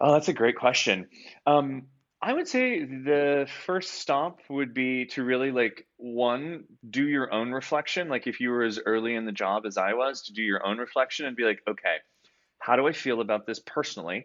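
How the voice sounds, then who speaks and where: The speech moves at a moderate pace with ordinary pitch variation, in an American accent. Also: man, medium pitch for a man. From Oklahoma, US. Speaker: HR executive. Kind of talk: interview. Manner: animated, filler-heavy.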